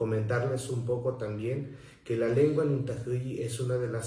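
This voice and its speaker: Intonation stays fairly even at a fairly slow pace, with audible room echo and noticeable background noise. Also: man. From Mexico, southern Veracruz (Soteapan). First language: Nuntajɨɨyi (Zoque-Popoluca) (speaking Spanish). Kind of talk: prepared talk. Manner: formal.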